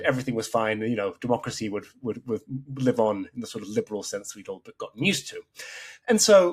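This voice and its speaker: Someone with an English accent talks at a fairly quick pace, with big swings in loudness and a dry, close sound with no echo. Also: man. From Mexico. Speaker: political editor and writer. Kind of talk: podcast interview answer.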